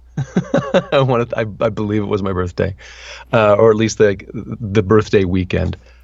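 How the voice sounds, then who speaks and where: Using an ordinary speaking voice, a man talks at a moderate pace with fairly low pitch and ordinary pitch variation. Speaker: voice actor. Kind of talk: interview answer. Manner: casual, conversational.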